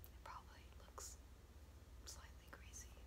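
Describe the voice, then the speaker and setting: Loud background noise under a woman's fairly slow speech. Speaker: ASMR creator. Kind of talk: ASMR whisper video. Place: home room. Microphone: phone near.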